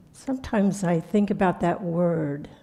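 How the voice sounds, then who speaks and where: Dark and mellow in tone, a woman speaks somewhat breathily at a medium pitch and a fairly slow pace, with ordinary pitch variation. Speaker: spiritual teacher. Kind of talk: sermon. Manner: soft-spoken; halting.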